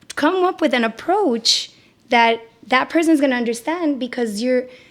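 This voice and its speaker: Loud and animated in tone, a woman talks at a fairly slow pace with a high pitch. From Puerto Rico. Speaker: psychotherapist. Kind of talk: podcast interview.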